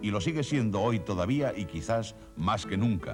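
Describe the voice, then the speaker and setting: A man talks at a moderate pace with a fairly low pitch and lively intonation while music plays in the background. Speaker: narrator. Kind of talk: TV documentary narration.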